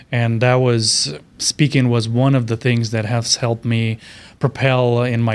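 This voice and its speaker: In a very clean recording with a silent background, a man with a Romanian accent speaks fairly slowly at a medium pitch. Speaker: keynote speaker. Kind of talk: interview.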